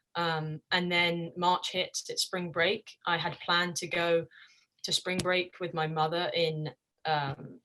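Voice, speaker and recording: Speaking very slowly with an English accent, a woman delivers flat, monotone lines in a fairly low pitch and a bright, sharp tone. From England. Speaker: college soccer player. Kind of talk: interview.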